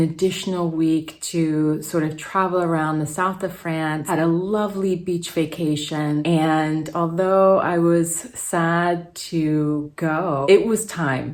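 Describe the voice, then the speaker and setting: A woman with a fairly low pitch speaks at a very slow pace in a monotone, flat intonation. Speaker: fitness and weight-loss vlogger. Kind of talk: casual talk to camera.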